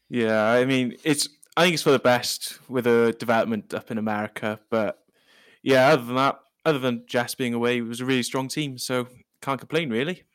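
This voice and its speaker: A man with a Welsh accent speaks at a fairly quick pace, his pitch medium and his intonation fairly even. The recording is very clean with a silent background. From Wales. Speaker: football podcast contributor. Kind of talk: casual chat.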